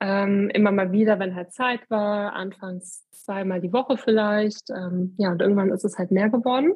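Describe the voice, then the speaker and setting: A woman speaks at a moderate pace with hardly any pauses. Her medium-pitched voice is somewhat breathy, with fairly even intonation. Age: 30s. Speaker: amateur long-distance cyclist. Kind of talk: casual interview.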